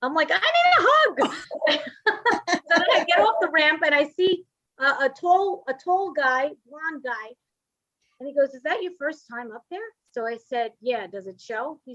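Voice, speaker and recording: A bright, sharp voice in a Brooklyn accent, with very wide pitch swings, at a moderate pace. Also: woman. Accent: New York (Brooklyn). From Brooklyn, New York. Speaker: comedian and writer. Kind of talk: casual interview chat. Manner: chatty, animated storytelling.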